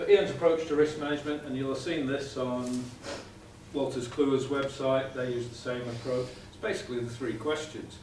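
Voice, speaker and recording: A man with a British accent speaks at a fairly quick pace and fairly even intonation. Audible room echo and light background noise accompany him. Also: big swings in loudness. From UK. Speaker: process safety engineer; presenter. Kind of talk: conference presentation. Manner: fast. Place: meeting room. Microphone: camera far.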